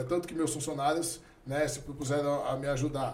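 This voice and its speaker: Amid audible room echo and noticeable background noise, a man speaks at a fairly quick pace with a fairly high pitch. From Brazil, Santos. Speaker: philosophy teacher and businessman. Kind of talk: podcast interview.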